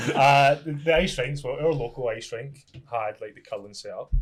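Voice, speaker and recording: Over music in the background, a man with a Scottish accent speaks at a fairly high pitch with ordinary pitch variation. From Scotland. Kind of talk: casual podcast guest talk.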